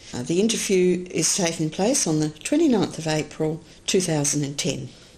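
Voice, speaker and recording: Her dark, mellow voice sits at a fairly low pitch with ordinary variation. The woman speaks at a moderate pace. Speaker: oral history interviewer. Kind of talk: interview questions.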